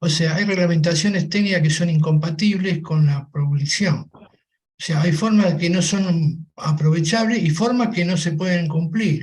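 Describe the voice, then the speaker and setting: Hardly any pauses break up the fairly slow speech. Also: man, high pitch for a man, fairly even intonation. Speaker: manufacturer. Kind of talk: panel discussion.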